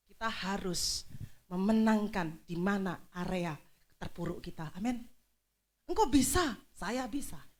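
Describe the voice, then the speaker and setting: A woman talks at a fairly slow pace. Room echo is audible around her. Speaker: pastor. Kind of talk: sermon.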